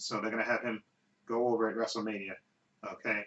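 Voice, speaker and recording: Delivered in a flat monotone, the speech runs along fairly quickly. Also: man. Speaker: online video commentator. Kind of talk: casual monologue. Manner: halting, with fillers.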